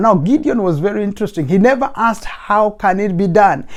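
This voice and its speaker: Speaking at a fairly quick pace with a non-native accent, a man uses a high pitch and ordinary pitch variation. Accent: non-native accent, noticeable. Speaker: motivational speaker. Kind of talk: motivational talk. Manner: fast; emphatic, preacher-like.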